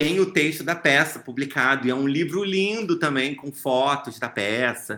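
Speaking with a Rio de Janeiro accent, a man uses lively intonation and a bright, sharp tone. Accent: Carioca Brazilian Portuguese. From Brazil, Rio de Janeiro. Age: 30s. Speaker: author and actor. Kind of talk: interview.

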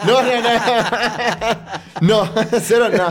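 A man speaks with a Mexican accent. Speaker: podcast co-host. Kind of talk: casual chat. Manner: animated, laughing often.

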